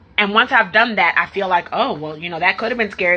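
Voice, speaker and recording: A woman at medium pitch speaks in a bright, sharp, animated tone with ordinary pitch variation. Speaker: life coach for entrepreneurs. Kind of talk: live stream talk to viewers. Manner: fast.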